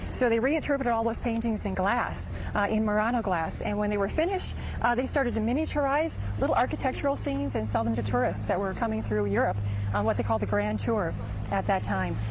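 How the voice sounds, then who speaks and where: Someone talks at a very fast pace in a Minnesota accent. Noticeable background noise and audible room echo fill the recording. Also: woman. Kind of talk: TV interview. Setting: outdoor arts festival.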